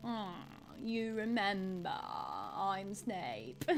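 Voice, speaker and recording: Over clear background noise, a put-on, nasal character voice that sounds female speaks at a medium pitch. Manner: sneering.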